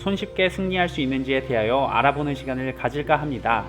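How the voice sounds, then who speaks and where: A man with a fairly high voice, speaking at a fairly quick clip with ordinary pitch variation over music in the background. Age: 30s. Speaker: gaming YouTuber. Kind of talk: video game guide narration.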